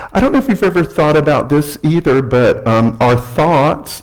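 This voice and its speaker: A somewhat breathy man with an American accent talks at a moderate pace with ordinary pitch variation. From US South, Alabama. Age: 60s. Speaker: guest speaker. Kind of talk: sermon. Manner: halting, many fillers.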